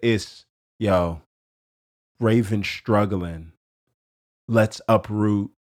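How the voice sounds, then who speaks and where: Someone speaks at a very slow pace on a very clean recording with a silent background. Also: man. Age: 30s. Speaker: podcast host. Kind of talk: casual chat.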